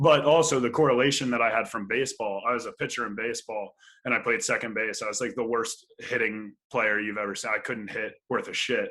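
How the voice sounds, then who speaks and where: A man at a very fast pace, medium-pitched, with a bright, sharp tone, fairly even intonation and an American accent. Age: 20s. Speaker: professional volleyball player. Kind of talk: casual chat. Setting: podcast interview.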